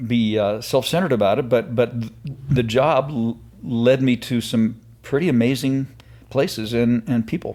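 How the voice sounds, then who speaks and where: A man speaks at a moderate pace in a medium pitch. His tone is dark and mellow, with ordinary pitch variation. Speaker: retired TV news anchor and freelance voice actor. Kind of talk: interview answer. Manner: conversational, hesitant with filler words.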